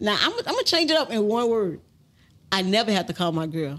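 A woman with an American accent, fairly high in pitch, with very wide pitch swings at a fairly quick pace. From Baton Rouge, Louisiana; Louisiana. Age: 40s. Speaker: rapper's mother; podcast guest. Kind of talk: casual interview. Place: studio. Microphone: studio mic.

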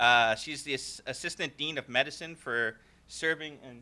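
A man talks at a moderate pace with a bright, sharp tone. His pitch is medium, with ordinary variation.

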